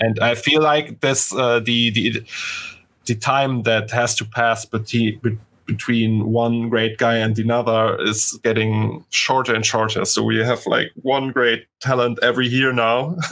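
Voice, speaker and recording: A voice with a German accent speaks at a fairly slow pace, its loudness very even and its intonation monotone and flat. The recording is very clean with a silent background. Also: man, medium pitch for a man. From Germany. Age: 30s. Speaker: 3D artist. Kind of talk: casual interview chat. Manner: halting, many stutters and restarts.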